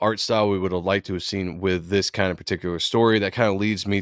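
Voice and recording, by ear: With fairly even intonation, a passage is read aloud in a natural voice.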